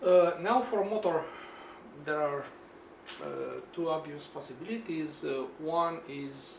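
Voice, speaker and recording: A Romanian accent at a very slow pace, with long, frequent pauses, ordinary pitch variation, audible room echo and noticeable background noise. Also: man, fairly high pitch for a man. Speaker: engineer and DIY video maker. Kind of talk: tutorial. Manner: halting, many fillers.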